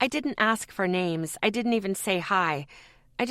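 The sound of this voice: Delivery comes in an unforced reading voice.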